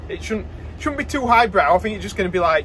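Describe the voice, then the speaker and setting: There is a man talking. A light noise runs under him. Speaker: farmer vlogger. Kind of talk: casual vlog chat. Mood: relaxed, slightly bored. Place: car. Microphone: phone near.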